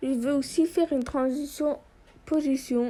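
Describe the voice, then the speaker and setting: A woman speaks at a very slow pace with fairly even intonation. Her high voice has a dark, mellow tone. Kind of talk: app tutorial voiceover.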